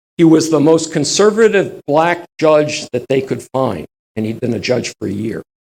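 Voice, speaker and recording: With vocal fry and a fairly high pitch, a man talks at a moderate pace in an animated tone with lively intonation, the sound dry and close with no echo. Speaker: history lecturer. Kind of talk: lecture.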